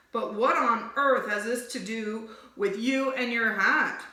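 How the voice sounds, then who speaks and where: A woman uses a put-on character voice, fairly high in pitch with fairly even intonation. She goes at a fairly slow pace, with slight echo. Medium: read story.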